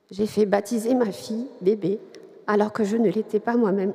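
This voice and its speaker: Pitched fairly high, a woman speaks at a fairly slow pace with fairly even intonation. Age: 40s. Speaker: catechumen giving faith testimony. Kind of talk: testimony.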